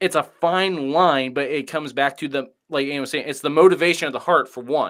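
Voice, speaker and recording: A man with an American accent, fairly high pitch, fairly even intonation, a fairly quick pace and hardly any pauses. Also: very clean recording, silent background. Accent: Midwestern accent others remark on. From US Midwest. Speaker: pastor. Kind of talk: panel discussion.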